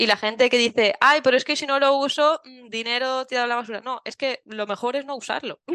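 A woman talks fairly quickly in a raised, projected voice, her tone bright and sharp, her pitch high, and her intonation fairly even, all in a dry, close sound with no echo. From Valencia, Spain. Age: 30s. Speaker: travel blogger and mother. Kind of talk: casual interview chat.

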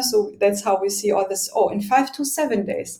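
A woman with a German accent at a fairly quick pace, over noticeable background noise. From Germany. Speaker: logistics tech executive. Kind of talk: interview.

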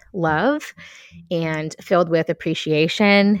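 A woman's fairly low, warm voice at a very slow pace, ordinary pitch variation, dry and close with no echo, on a very clean recording with a silent background. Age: 40s. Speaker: podcast host. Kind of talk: solo podcast monologue. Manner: warm, with frequent laughs.

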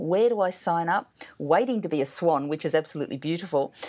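Fairly quick and fairly low in pitch, a woman's voice moves in very wide pitch swings. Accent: Australian. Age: 50s. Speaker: podcast host and writing teacher. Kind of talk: interview. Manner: animated.

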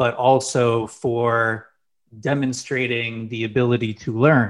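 This man talks at a fairly slow pace. His medium-pitched voice stays monotone and flat. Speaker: podcast host. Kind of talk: interview conversation. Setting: video call.

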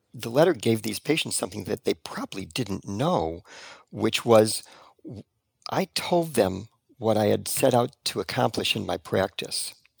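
This man has an unremarkable speaking voice at medium pitch, with lively intonation and a moderate pace, captured in a very clean, dry, close recording with a silent background and no echo. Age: 60s. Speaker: retired acupuncturist. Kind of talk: interview conversation.

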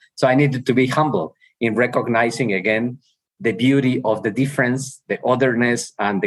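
A man at medium pitch with a Mexican accent, vocal fry, lively intonation and a fairly quick pace. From Mexico. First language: Spanish. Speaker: university president. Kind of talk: interview conversation. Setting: video call.

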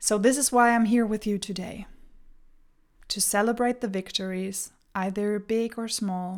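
Recorded very cleanly with a silent background, a woman with a German accent speaks at a moderate pace in a fairly high pitch, energetic and animated, with long, frequent pauses. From Germany. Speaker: podcast host and coach. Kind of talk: solo podcast monologue, motivational. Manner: energetic, animated.

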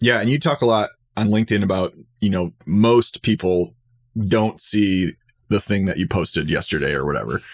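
Delivered at a moderate pace with lively intonation, this is a normal speaking voice. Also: man, fairly low pitch for a man. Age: 30s. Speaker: higher ed marketing podcaster. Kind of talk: casual interview chat.

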